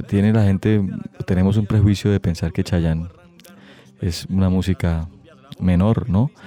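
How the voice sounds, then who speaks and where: A man speaks in a very deep, low voice, leaving long pauses again and again. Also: fairly even intonation, fairly slow pace, very even loudness. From Santander, Colombia (Bucaramanga). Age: 40s. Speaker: musician. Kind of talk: interview. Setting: studio.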